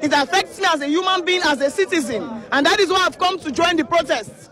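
A woman speaks with a high pitch and lively intonation. The sound is dry with no echo, with crowd noise in the background. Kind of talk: interview answer. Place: street. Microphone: handheld.

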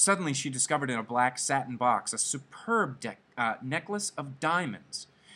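Lively intonation shapes this recording. It comes from an unforced reading voice.

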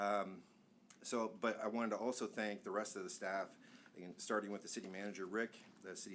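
Fairly quick, monotone speech from a man with a fairly low pitch and flat intonation, plus audible room echo. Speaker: planning consultant presenting to city council. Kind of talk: presentation at public meeting. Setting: council chamber meeting. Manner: fast.

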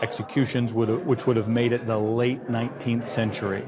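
Through noticeable background noise, a man speaks with fairly even intonation. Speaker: antiques appraiser. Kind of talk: appraisal interview explanation. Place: studio. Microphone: lapel.

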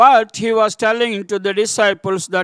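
A man's high-pitched voice, dry with no echo, over a quiet background. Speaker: preacher. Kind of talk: sermon. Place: church. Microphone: podium.

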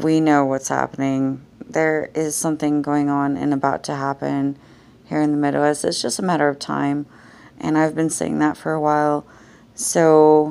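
A woman speaks in a very deep, low pitch. Her tone is dark and mellow, and her intonation is fairly even. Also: moderate pace. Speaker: vlogger. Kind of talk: casual vlog chat. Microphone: phone near.

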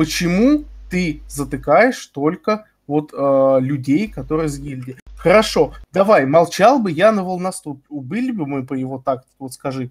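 Somewhat breathy and fairly high in pitch, a man speaks at a fairly slow pace with lively intonation and big swings in loudness. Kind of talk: heated debate. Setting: voice chat during game raid. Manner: gets emotional and stretches words.

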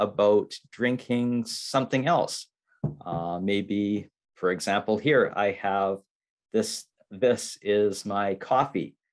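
Speaking in a fairly low pitch with ordinary pitch variation, a man is heard against a quiet background. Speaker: english teacher. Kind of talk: slow teaching talk. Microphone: video call.

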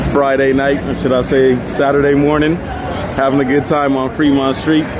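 Crowd noise fills the background as a man speaks, his voice dry with no echo. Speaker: vlogger. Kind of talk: casual vlog chat. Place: street. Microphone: phone near.

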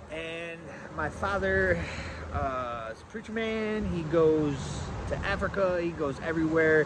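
A man is speaking. Noticeable noise sits in the background. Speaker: preparedness vlogger. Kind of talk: casual vlog chat. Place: garden. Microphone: phone near.

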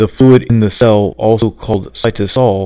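Dry sound with no echo and a quiet background frame a man with an American accent who talks fairly slowly in a dark, mellow tone with ordinary pitch variation. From United States. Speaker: reader for a friend. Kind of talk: presentation slide reading. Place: home room. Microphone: webcam.

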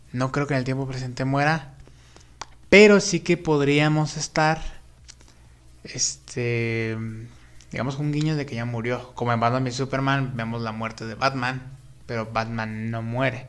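Fairly slow speech broken by long, frequent pauses, with ordinary pitch variation. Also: man, medium pitch for a man. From Mexico. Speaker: YouTuber film commentator; film news youtuber. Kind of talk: live stream chat about films; casual commentary. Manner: casual, with many fillers. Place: home room.

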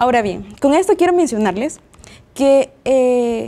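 Very slowly, a woman speaks with a high pitch, a dark, mellow tone and lively intonation. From El Salvador. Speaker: Bible study participant. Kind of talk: Bible study discussion. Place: studio. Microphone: lapel.

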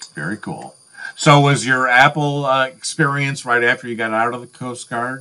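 A bright, sharp tone comes through with big swings in loudness. The pace is moderate, the intonation fairly even, and the background quiet. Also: man. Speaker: interviewer. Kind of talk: interview. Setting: video call. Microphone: video call.

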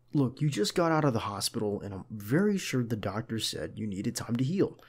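A man speaks at a moderate pace while the background remains quiet. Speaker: voice actor playing a bodyguard. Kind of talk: roleplay monologue. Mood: caring, firm, gentle.

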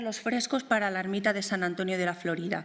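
A woman's voice at a fairly quick pace, with ordinary pitch variation. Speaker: art historian and museum researcher; art researcher lecturer. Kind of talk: lecture. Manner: hesitant with fillers and repetitions. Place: hall. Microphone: podium.

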